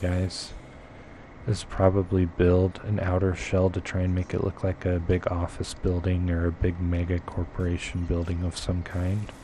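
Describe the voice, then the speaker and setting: This man has a very deep, low pitch and a dark, mellow tone that is somewhat breathy. He speaks at a moderate pace with monotone, flat intonation. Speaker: gaming streamer. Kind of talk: live gameplay commentary. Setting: live stream.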